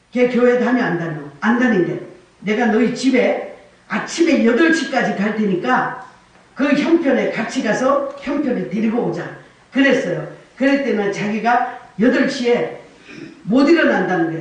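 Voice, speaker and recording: A woman talks at a fairly slow pace with high pitch and lively intonation. Noticeable background noise and audible room echo surround her voice. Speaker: evangelist. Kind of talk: sermon. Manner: animated.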